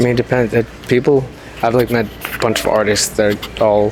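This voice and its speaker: Amid noticeable background noise, a man with an American accent speaks at a moderate pace in a fairly low, monotone voice with flat intonation. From New York, Queens. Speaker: musician and songwriter. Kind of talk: casual chat.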